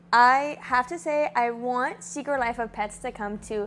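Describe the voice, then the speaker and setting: A woman with a strong Miami accent speaks in an animated tone at a fairly high pitch. Her pitch varies in an ordinary way against a quiet background. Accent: thick Miami. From Miami, Florida (Cuban-American). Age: 20s. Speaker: theme park vlogger. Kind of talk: casual Q&A vlog.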